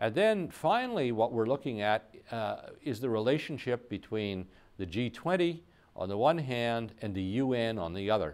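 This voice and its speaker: At a fairly slow pace, a man is talking. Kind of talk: interview answer. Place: studio.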